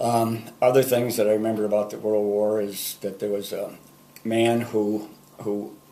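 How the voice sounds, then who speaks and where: Speaking with an Upper Midwest accent, a man uses a fairly low pitch and monotone, flat intonation at a moderate pace, with audible room echo. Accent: Upper Midwest American. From Minnesota, Saint Paul. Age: 70s. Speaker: grandfather sharing memories. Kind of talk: oral history recollection. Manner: hesitant, with fillers.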